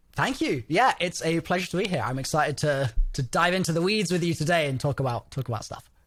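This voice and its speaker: With an English accent, a man with a fairly high pitch speaks at a very fast pace with hardly any pauses and lively intonation. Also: very clean recording, silent background. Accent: English accent, noted by host. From England, London. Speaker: gaming content creator. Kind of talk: interview.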